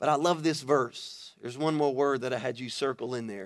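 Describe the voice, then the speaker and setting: With an American accent, a man talks at a moderate pace in a medium pitch with ordinary pitch variation, recorded very cleanly against a silent background. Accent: Louisiana Cajun-tinged Southern US. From Louisiana, Baton Rouge. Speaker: pastor. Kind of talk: sermon. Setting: church stage with audience. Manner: animated.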